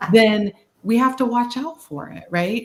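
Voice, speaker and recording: A woman with a slight Boston accent, fairly slow pace and ordinary pitch variation. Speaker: social work speaker. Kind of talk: webinar discussion. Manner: casual, animated.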